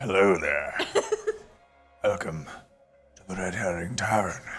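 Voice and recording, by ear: A man's put-on character voice, raspy and very deep in pitch, at a moderate pace over faint background music.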